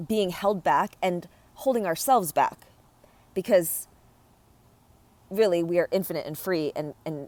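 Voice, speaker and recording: In an American accent, a woman talks at a moderate pace with a fairly low pitch and ordinary pitch variation. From US, Korean American family. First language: Korean. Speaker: podcast host, healing practitioner. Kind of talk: personal reflective monologue. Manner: hesitant, many fillers and restarts.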